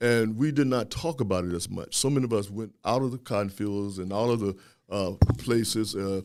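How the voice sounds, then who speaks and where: In an American accent, a man speaks at a fairly quick pace with a fairly low pitch and ordinary pitch variation, in a normal speaking voice. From US South (Louisiana). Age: 60s. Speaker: historian and professor. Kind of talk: podcast interview.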